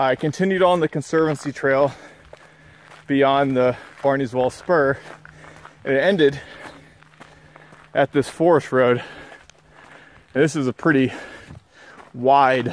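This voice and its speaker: A man at a fairly slow pace, with long, frequent pauses, fairly even intonation and a dry sound with no echo. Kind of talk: casual vlog chat. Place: forest. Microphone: phone near.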